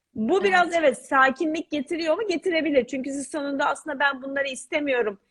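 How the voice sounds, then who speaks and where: Talking at a very fast pace with hardly any pauses, a woman uses a high pitch and ordinary pitch variation. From Istanbul, Turkey. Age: 30s. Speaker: author. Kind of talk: interview.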